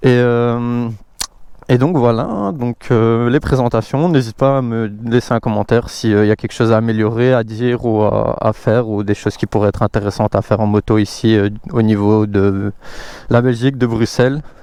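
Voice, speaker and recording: The man's tone is dark and mellow. His intonation stays fairly even. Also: medium pitch for a man, moderate pace. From Belgium, Brussels. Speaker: motorcycle vlogger. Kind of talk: casual vlog presentation. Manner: hesitant, many fillers.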